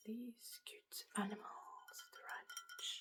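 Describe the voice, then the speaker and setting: A woman talks very slowly and is soft-spoken. Her tone is relaxed. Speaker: ASMR content creator. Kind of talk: lo-fi ASMR show and tell, casual talk to camera. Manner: soft-spoken, relaxed.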